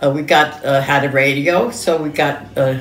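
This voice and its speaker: A woman speaks with a New York accent and a very deep, low pitch. Music plays in the background. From New York City, Lower Manhattan. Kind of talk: interview answer. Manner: hesitant, halting.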